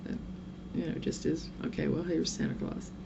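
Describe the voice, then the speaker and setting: The speaker has an American accent. Audible room echo and noticeable background noise come through in the recording. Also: woman. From southern Oklahoma. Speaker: vlogger. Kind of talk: casual vlog monologue. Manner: rambling, chatty.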